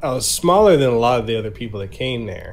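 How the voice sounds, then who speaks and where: A somewhat breathy voice with an American accent carries audible room echo. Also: man. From Samoa and Memphis, US South. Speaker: podcast host and content creator. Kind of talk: casual interview chat. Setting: online podcast recording.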